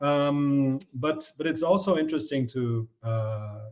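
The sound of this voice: Delivered at a fairly slow pace, the pitch rises and falls in an ordinary way. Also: man, medium pitch for a man.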